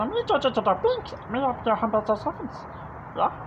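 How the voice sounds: A put-on character voice with high pitch moves at a moderate pace over loud background noise.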